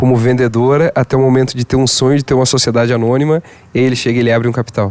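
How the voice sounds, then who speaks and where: A man talks at a fairly quick pace in a medium pitch, with an ordinary speaking voice. The sound is dry and close, with no echo. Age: 30s. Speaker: event host. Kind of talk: interview.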